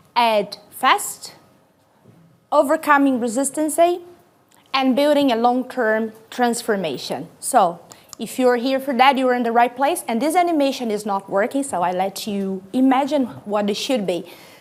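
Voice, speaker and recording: A woman in a Brazilian accent, high-pitched with lively intonation, at a fairly slow pace. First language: Portuguese. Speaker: corporate sustainability executive. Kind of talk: conference talk. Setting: stage with audience. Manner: loud; energetic.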